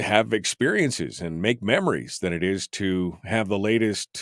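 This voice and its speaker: Over a silent background on a very clean recording, a man speaks at a moderate pace with lively intonation and vocal fry. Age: 50s. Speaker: radio talk show host. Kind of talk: talk radio, reading listener chat. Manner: casual, conversational with fillers.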